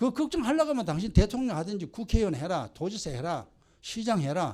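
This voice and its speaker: A man's voice at a fairly quick pace with very wide pitch swings. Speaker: pastor. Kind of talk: sermon. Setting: church. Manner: animated.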